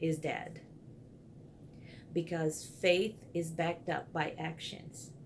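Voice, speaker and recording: With a Brazilian accent, a woman speaks at a fairly low pitch, with vocal fry and fairly even intonation. Her pace is very slow, broken by long, frequent pauses. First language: Portuguese. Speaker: counseling student. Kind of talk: video blog for homework. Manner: hesitant with fillers.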